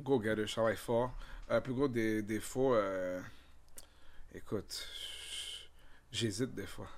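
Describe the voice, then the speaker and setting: Speaking at a very slow pace with long, frequent pauses, a man keeps fairly even intonation but makes big swings in loudness. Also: medium pitch for a man. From Ottawa, Ontario (Vanier), born in Haiti. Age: 30s. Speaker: comedian and content creator. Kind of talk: casual chat. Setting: studio.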